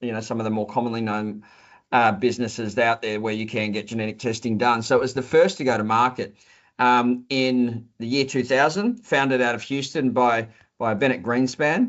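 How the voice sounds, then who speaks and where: A man with an Australian accent, medium pitch, and fairly even intonation. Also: moderate pace. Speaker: company executive. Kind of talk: interview. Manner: halting, with frequent repetitions and fillers.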